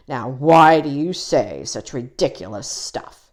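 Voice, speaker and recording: This put-on character voice growls in a gruff, low-to-middle pitch at a fairly slow pace. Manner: indignant, scornful.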